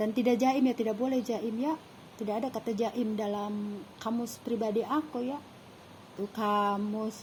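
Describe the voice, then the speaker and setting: A woman speaks at a fairly slow pace in a Sundanese accent, her pitch fairly high. Her voice is somewhat breathy and her intonation fairly even. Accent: Sundanese-accented Indonesian. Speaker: vlogger. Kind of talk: casual monologue. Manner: casual, unpolished.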